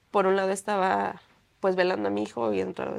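Very fast and very deep in pitch, a woman speaks with very wide pitch swings. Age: young. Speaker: bereaved mother. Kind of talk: testimony. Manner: halting.

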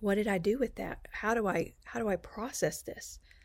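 A woman with an American accent talks at a fairly slow pace in a medium pitch with ordinary pitch variation, on a very clean recording with a silent background. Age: 60s. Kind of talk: personal storytelling.

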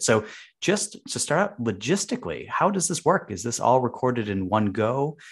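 Against a quiet background, a man with an American accent speaks at a moderate pace. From US, Chicago. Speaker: podcast host. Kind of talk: scripted narration; interview.

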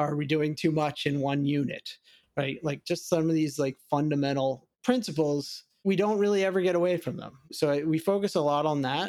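With a plain, everyday voice, a man talks at a moderate pace and fairly high pitch with ordinary pitch variation. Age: 40s. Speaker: machine learning engineering director. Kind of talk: interview.

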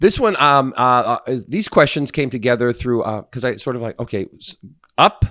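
A bright, sharp, playful tone carries ordinary pitch variation at a moderate pace, with a dry, close sound and no echo. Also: man. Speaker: podcast co-host giving workplace advice. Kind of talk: casual banter and advice chat. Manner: joking, playful.

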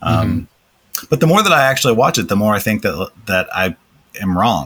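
Speaking in an American accent, a man uses lively intonation and a bright, sharp tone. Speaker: podcast host interviewing a developer educator. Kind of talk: casual interview chat. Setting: video call.

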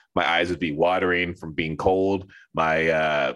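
The speaker is a man. He has an American accent. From US West Coast, Los Angeles. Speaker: artist and cosplayer. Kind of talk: casual interview. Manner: halting, many fillers.

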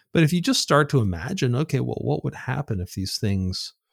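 The recording is very clean, with a silent background. A man of medium pitch talks at a fairly quick pace. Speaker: author and futurist. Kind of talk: casual interview. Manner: halting, filler-heavy.

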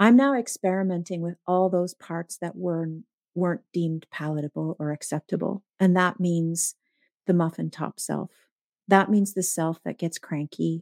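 A woman with a normal speaking voice and a fairly low pitch talks at a moderate pace with fairly even intonation, in a dry, close sound with no echo. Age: 50s. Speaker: burnout coach and author. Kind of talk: casual interview conversation.

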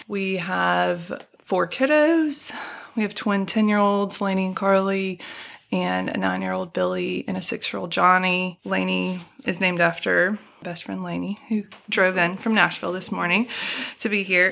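A woman with a Southern US accent speaks at a moderate pace. The recording is very clean, with a silent background. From Alabama (Birmingham), US South. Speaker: storyteller guest sharing personal testimony. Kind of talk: testimony.

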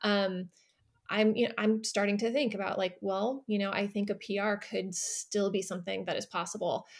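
Speaking at a moderate pace, a woman has a medium-pitched voice. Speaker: runner and English professor. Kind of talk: interview. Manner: talkative; bubbly.

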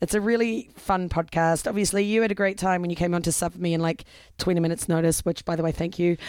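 On a very clean recording with a silent background, a woman with a fairly low pitch talks at a very fast pace in an animated tone. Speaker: podcast co-host guesting on another show. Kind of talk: casual chat. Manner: animated, laughs often.

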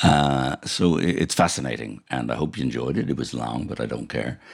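A man with a very deep, low pitch and an Irish accent, at a moderate pace, over noticeable background noise. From Ireland. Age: 70s. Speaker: podcast host and TV director. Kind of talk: casual radio-style presenting.

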